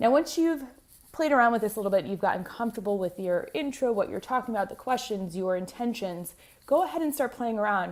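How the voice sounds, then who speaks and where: A woman's fairly high, animated voice, very fast and lively in intonation. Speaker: podcast host and business coach. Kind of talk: tutorial.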